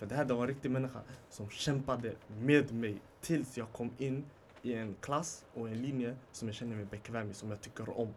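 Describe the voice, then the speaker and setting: With a medium pitch and a normal speaking voice, this man delivers his words at a moderate pace. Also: fairly even intonation. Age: 20s. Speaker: podcast guest. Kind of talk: casual chat. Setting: studio with small live audience.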